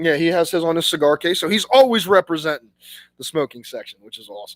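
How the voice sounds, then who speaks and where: A man's high-pitched voice with lively intonation, dry and close with no echo. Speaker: cigar reviewer. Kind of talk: live stream casual review. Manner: relaxed conversational.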